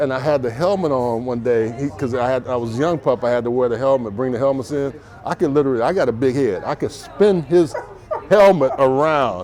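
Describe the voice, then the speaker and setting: Talking at a fairly quick pace, a man with an American accent uses lively intonation at a medium pitch over noticeable background noise. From Texas. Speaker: interview host, former NFL player. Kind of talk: casual interview chat. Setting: bar or shop. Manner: animated.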